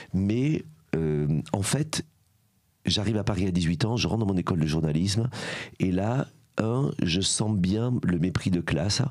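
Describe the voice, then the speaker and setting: A man with a strong southern French accent speaks at a very deep, low pitch and a fairly slow pace, with long, frequent pauses. His intonation is lively while his loudness stays very even. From southern France, Aveyron. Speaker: former journalist, charity founder. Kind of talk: podcast interview. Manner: fillers, hesitant 'euh'.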